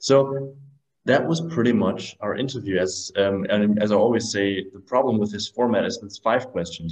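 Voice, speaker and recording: Here a man speaks with a German accent and ordinary pitch variation. He keeps a moderate pace. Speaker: podcast host. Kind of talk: interview. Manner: halting.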